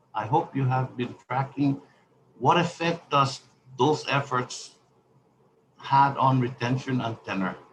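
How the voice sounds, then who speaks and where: A speaker with a non-native accent talks at a fairly slow pace, leaving long, frequent pauses and using ordinary pitch variation. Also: man, medium pitch for a man. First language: not English. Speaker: congressman. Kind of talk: congressional hearing questioning. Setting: virtual hearing. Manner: halting, many fillers.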